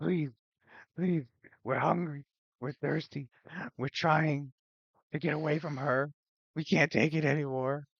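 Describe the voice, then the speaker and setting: Using a put-on character voice at a fairly high pitch, a man speaks at a moderate pace with long, frequent pauses. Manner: pleading.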